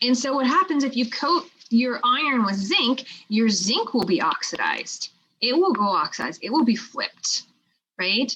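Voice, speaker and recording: Her high voice swings very widely in pitch as this woman talks at a moderate pace. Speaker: chemistry teacher. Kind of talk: lecture.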